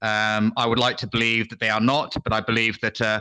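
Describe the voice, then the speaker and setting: A man with a British accent talks at a medium pitch in a bright, sharp tone. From England. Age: old. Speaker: retired military intelligence officer. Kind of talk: casual chat. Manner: halting.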